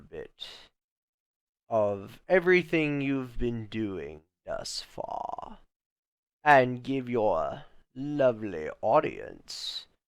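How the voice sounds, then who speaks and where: A man speaks in a put-on character voice at a very slow pace. The recording is very clean, with a silent background. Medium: audio drama. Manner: polite, measured, ominous.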